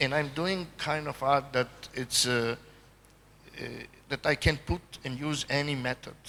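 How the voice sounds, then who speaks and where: Fairly high-pitched man with a Serbian accent, speaking with long, frequent pauses. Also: fairly even intonation, fairly slow pace. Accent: Eastern European (Serbian) accent in English. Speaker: artist. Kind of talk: panel conversation. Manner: halting.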